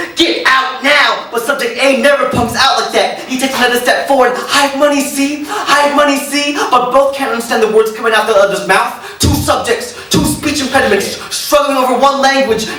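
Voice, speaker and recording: Music plays behind a man whose raised, projected voice sits extremely high in pitch. He talks at a fairly quick pace with fairly even intonation and hardly any pauses. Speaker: spoken word poet. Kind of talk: live spoken word poetry performance. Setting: live audience.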